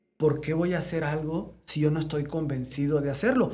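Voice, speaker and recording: A man's fairly high voice, dark and mellow in tone, at a fairly slow pace. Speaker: veterinarian and congress founder. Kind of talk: interview conversation. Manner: animated.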